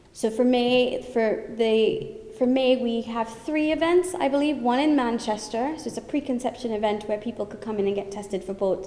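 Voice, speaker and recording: A woman speaks in a fairly high voice with lively intonation at a moderate pace. Room echo is audible, and background noise is noticeable. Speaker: thalassemia charity representative. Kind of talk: conference talk. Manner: loud; animated.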